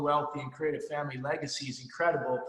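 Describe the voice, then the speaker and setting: Audible room echo surrounds a man talking at a very fast pace with a fairly high pitch. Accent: American. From New Jersey. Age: 50s. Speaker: financial services business leader, motivational speaker. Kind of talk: motivational talk. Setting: conference call. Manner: energetic, animated.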